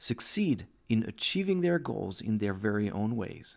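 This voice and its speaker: A man with a French accent swings his pitch very widely on a very clean recording with a silent background. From France. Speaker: podcast host. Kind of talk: scripted intro; interview.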